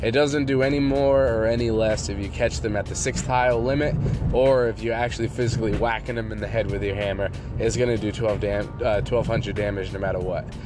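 Music plays in the background as a man speaks at a fairly quick pace. His medium pitch stays fairly even in intonation. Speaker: gaming podcast host. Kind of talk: solo podcast monologue. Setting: late-night home recording. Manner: casual, filler-heavy.

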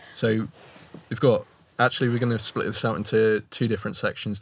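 A man's medium-pitched, monotone, flat voice with a British accent, on a very clean recording with a silent background. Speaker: podcast host. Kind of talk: interview. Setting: studio.

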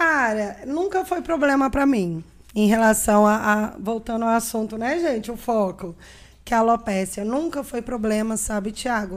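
A woman with a plain, everyday voice speaks at a fairly high pitch and a fairly slow pace, her intonation lively. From Brazil, Minas Gerais and Brasília. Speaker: podcast guest with alopecia. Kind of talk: casual interview chat.

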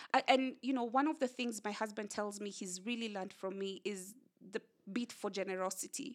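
A woman talks in a Kenyan accent. Her pitch is medium, with ordinary variation. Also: fairly quick pace. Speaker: communications director and author. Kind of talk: casual interview. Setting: her home.

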